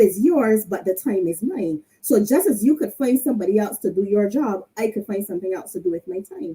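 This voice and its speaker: A woman's somewhat breathy voice with a Barbadian accent and lively intonation. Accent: Barbadian (Bajan). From Barbados. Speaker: leadership panelist, entrepreneur. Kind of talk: panel speech. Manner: animated.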